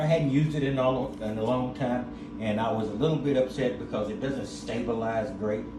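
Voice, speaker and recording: Lively in intonation and fairly quick, a man's medium-pitched voice comes through with audible room echo and noticeable background noise. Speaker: van life vlogger. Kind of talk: casual vlog. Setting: grocery store.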